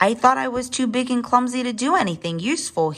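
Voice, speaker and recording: A female-sounding, put-on character voice, high-pitched and at a very fast pace. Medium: read story.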